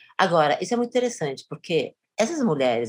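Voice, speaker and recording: A woman is speaking. Her pitch swings very widely. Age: 60s. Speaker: university professor and researcher. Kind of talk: interview conversation.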